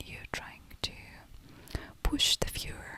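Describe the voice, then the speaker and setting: A fairly slow whisper, with noticeable background noise underneath. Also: woman. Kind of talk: ASMR whisper talk about movies. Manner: soft, whispered, slow, with hesitations.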